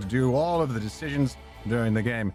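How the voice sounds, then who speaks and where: With music in the background, a man talks very fast with lively intonation. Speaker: voice actor. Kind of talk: casual let's-play stream talk.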